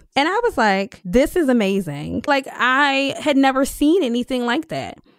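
A woman with a Philadelphia accent speaks at a moderate pace with very wide pitch swings in a very clean recording with a silent background. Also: dry, close sound with no echo. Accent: Philadelphia American. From US, Philadelphia (Germantown). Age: 30s. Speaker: urban farmer and business owner. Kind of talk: interview. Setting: recording studio.

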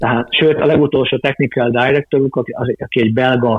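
The man's pitch sits in the medium range. He talks at a moderate speed, his intonation fairly even. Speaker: football coach and federation official. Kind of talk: interview. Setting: remote call. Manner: halting, with frequent repeated words.

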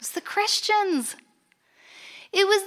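A woman with an American accent speaks in a raised, projected voice. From United States. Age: 40s. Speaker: conference speaker. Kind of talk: conference talk. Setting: stage with audience.

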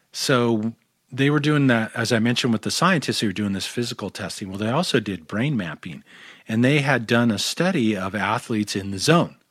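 Speaking at a fairly quick pace, a man uses lively intonation and a medium pitch. The recording is very clean, with a silent background. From Southern California (Orange County). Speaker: sound healing practitioner. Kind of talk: interview conversation.

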